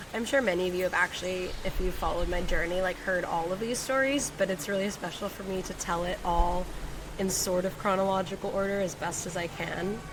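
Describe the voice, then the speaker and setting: A woman talks at a fairly quick pace with a medium pitch and fairly even intonation. Noticeable background noise is present. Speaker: podcast host, women's coach. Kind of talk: personal storytelling podcast. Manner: laid-back, emotional.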